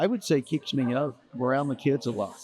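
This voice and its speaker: Medium-pitched male speech amid noticeable background noise. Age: 60s. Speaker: school yearbook salesman. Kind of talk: casual interview. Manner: halting with repetitions.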